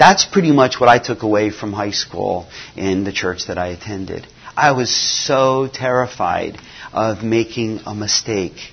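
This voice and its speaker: Moderately paced speech from a man of medium pitch, ordinary pitch variation, over noticeable background noise. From US (missionary kid born in Nigeria). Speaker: mission agency staff, former missionary. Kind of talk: conference talk. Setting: conference breakout session.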